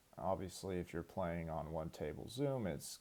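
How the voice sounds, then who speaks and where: A man with very deep, low pitch and a dark, mellow tone speaks at a moderate pace with vocal fry, recorded very cleanly against a silent background. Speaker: online poker player. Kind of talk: gameplay commentary. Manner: casual, with filler words.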